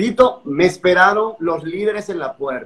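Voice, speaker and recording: This man's voice moves with ordinary pitch variation. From Dominican Republic, San Pedro de Macorís; Dominican Republic. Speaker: pastor. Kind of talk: testimony. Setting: Instagram live video call.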